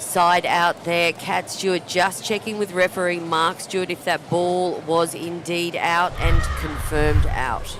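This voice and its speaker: A woman's fairly slow, monotone speech with flat intonation, over noticeable background noise. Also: fairly low pitch for a woman, hardly any pauses. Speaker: pickleball commentator. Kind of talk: live commentary. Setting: commentary booth.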